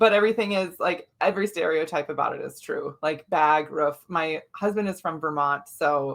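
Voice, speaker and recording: In a Minnesota accent, a woman speaks at a moderate pace with hardly any pauses. Her pitch is fairly low, with ordinary variation. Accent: Minnesotan. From Minnesota, US Midwest (grew up on farm). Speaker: functional medicine doctor, women's health expert. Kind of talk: interview podcast.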